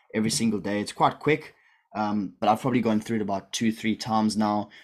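With an ordinary speaking voice, a man talks at a fairly low pitch and fairly even intonation. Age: 20s. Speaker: online business coach. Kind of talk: live-streamed group call. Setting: video call livestream. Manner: casual, filler-heavy.

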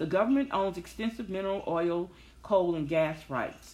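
A woman with a Southern US accent speaks at a moderate pace. Her pitch is fairly low and her intonation lively. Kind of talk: casual talk, solo monologue. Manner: chatty, upbeat, filler-heavy.

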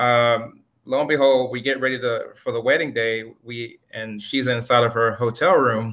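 Speaking with a normal speaking voice, a man keeps a moderate pace with hardly any pauses, a medium pitch and fairly even intonation. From Miami, Florida (born in Jamaica). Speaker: Marine veteran and business owner. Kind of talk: interview. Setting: remote call during a thunderstorm.

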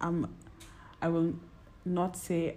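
Her pitch is fairly low and her tone dark and mellow. This woman speaks at a very slow pace. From Kenya. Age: 20s. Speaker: podcast co-host. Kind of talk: casual chat.

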